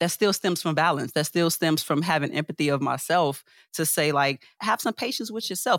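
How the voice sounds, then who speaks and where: A woman with a plain, everyday voice speaks at a moderate pace with ordinary pitch variation. The recording is very clean, with a silent background and a dry, close sound with no echo. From Chicago, US Midwest. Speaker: UX architect and creative artist. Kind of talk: casual interview.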